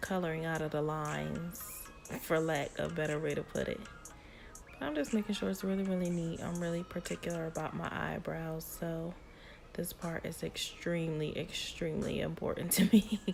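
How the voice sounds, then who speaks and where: With music in the background, a woman talks at a moderate pace in a fairly low pitch, her pitch variation ordinary. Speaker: beauty YouTuber. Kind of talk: makeup tutorial. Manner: casual, repetitive filler.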